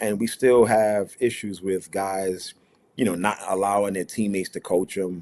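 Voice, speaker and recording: A man with an American accent talks at a moderate pace. His fairly low voice stays monotone and flat. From New York (Brooklyn). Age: 40s. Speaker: college basketball head coach. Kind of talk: media day interview.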